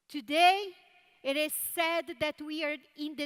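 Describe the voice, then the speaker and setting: A woman speaks in a Brazilian Portuguese accent at a high pitch. Her pace is fairly slow. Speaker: tech conference speaker. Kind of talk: keynote talk.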